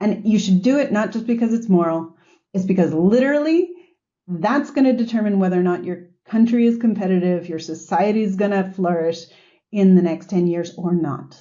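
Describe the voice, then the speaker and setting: A woman with an American accent speaks at a fairly quick pace and a medium pitch, with ordinary pitch variation. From US. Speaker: sustainability executive. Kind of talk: podcast interview. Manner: animated.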